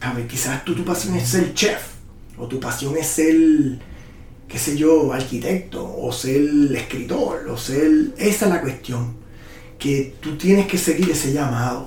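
A man with a Puerto Rican accent and a fairly high pitch speaks at a fairly slow pace, with ordinary pitch variation. Room echo is audible, and there is noticeable background noise. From Puerto Rico. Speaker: muralist and photographer. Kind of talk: interview.

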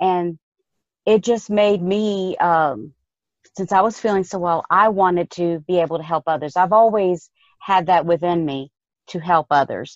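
A woman with a normal speaking voice talks at a fairly slow pace and fairly low pitch, with ordinary pitch variation, in a dry, close sound with no echo. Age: 50s. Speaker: health coach. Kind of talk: casual interview.

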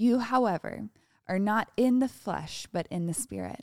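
A woman's ordinary speaking voice at a fairly slow pace, with ordinary pitch variation, a dry, close sound with no echo, and a very clean recording with a silent background. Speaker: devotional co-host. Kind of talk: devotional reading and prayer.

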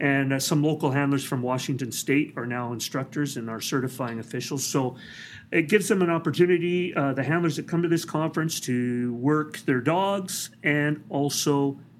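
Heard on a very clean recording with a silent background, a man with a Canadian accent uses a normal speaking voice at a moderate pace, his fairly high pitch showing ordinary variation. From British Columbia, Canada. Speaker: police dog trainer. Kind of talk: interview. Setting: conference.

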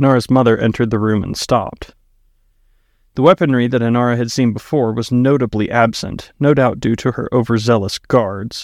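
With fairly even intonation and a medium pitch, a man with an unremarkable speaking voice delivers his words at a moderate pace. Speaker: author reading own book. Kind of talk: audiobook narration; casual intro and outro. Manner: measured, storyteller pacing.

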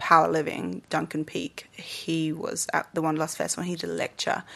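A woman with an English accent against a quiet background. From England. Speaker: yoga teacher and dancer. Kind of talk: casual interview.

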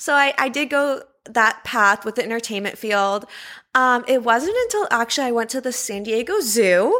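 A woman speaks at a moderate pace in a high, bright, sharp voice with ordinary pitch variation, recorded very cleanly against a silent background. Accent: Californian. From Los Angeles. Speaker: zoo student keeper. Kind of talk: interview.

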